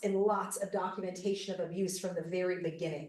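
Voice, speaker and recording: Her voice carries an American accent. The woman is heard with audible room echo. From US, Arizona. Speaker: cult survivor and podcast host. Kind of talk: conference presentation.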